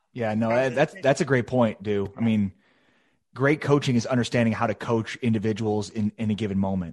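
A man with an American accent speaks at a fairly quick pace against a quiet background. He has an ordinary speaking voice, with medium pitch and ordinary pitch variation. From Chicago. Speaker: sports podcast co-host. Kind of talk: casual chat.

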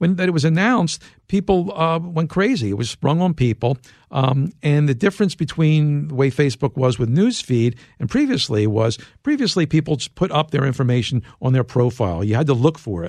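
A man speaks with an American accent at a fairly high pitch. His voice is somewhat breathy and his pace fairly quick. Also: lively intonation. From US Northeast, Philadelphia. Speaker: tech journalist and author. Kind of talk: interview.

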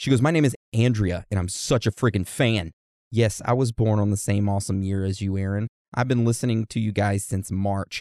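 Fairly quickly and with fairly even intonation, a man talks in a dark, mellow tone. The very clean recording has a silent background and a dry, close sound with no echo. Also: fairly low pitch for a man. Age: 30s. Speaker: podcast host. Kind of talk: casual chat.

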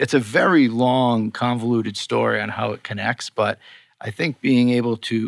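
In a Boston accent, the speaker goes at a moderate pace, the sound dry and close with no echo. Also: man, very clean recording, silent background. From Boston, US. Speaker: skincare scientist and co-founder. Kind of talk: casual interview chat. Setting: in-person studio recording.

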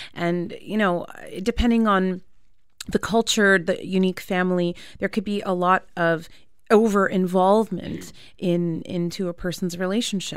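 A woman speaks at a moderate pace with a Canadian accent. Her intonation is monotone and flat. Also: medium pitch for a woman. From Canada. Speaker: therapist. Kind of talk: radio interview. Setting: radio studio.

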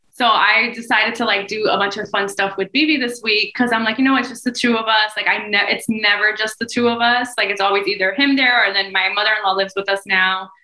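A woman with an American accent talks at a very fast pace, with hardly any pauses. Noticeable background noise runs underneath. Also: fairly high pitch for a woman, fairly even intonation. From New Jersey, US. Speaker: podcast co-host and mom. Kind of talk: casual chat.

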